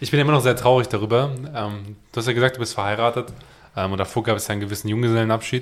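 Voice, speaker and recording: At a very fast pace, a man talks at a medium pitch with fairly even intonation. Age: 20s. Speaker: podcast co-host. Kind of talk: casual chat.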